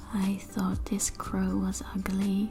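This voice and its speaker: Against noticeable background noise, a woman with a non-native accent speaks at a very slow pace. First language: not English. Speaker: artist. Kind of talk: sketchbook tour narration.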